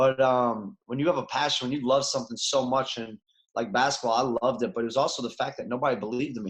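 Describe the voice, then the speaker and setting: At a very fast pace, a man with a Chicago accent speaks at a medium pitch with fairly even intonation. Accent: Chicago American. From US Midwest, Chicago. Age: 30s. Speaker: former basketball player, coach. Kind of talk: podcast interview.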